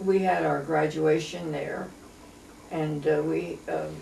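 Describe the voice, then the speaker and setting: Speaking at a very slow pace with an American accent, a woman is heard with audible room echo and noticeable background noise. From Pennsylvania, US. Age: 90s. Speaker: elderly local resident. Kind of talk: oral history interview. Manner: halting.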